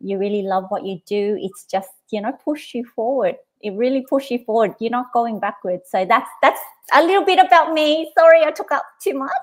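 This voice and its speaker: A woman with an Australian accent speaks in a high pitch at a moderate pace. Her pitch swings very widely. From Australia (Sydney), born in Vietnam. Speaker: business coach. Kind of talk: casual chat. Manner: halting, many fillers.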